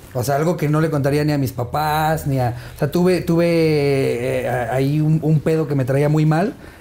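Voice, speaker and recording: With hardly any pauses, a man speaks at a moderate pace in a fairly high, dark, mellow voice, keeping fairly even intonation and very even loudness. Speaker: stand-up comedian. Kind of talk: casual interview chat.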